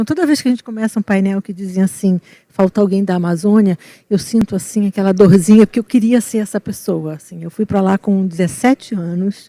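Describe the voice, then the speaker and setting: A woman at medium pitch talks at a fairly quick pace with a dark, mellow tone and ordinary pitch variation, in a very clean, dry, close recording with no echo and a silent background. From Rio de Janeiro, Brazil. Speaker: environmental consultant, panelist. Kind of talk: panel discussion.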